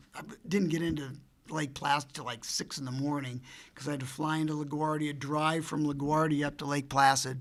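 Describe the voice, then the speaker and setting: A man speaks at a fairly high pitch in a bright, sharp tone. Room echo is audible. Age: 70s. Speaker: retiring college hockey coach and administrator. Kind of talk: press conference. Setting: press conference with media. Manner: conversational, many fillers.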